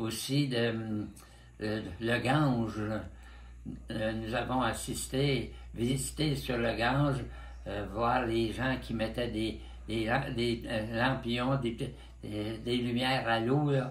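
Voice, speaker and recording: The speech is very slow, with vocal fry and fairly even intonation. Long, frequent pauses break it up, and room echo is audible. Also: man, medium pitch for a man. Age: 90s. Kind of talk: interview. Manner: halting.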